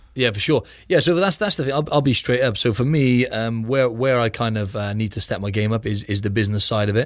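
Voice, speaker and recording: A man with a British accent speaks at a very fast pace, with hardly any pauses. His pitch is medium with ordinary variation, on a very clean recording with a silent background. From UK. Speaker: physique competitor. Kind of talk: interview conversation.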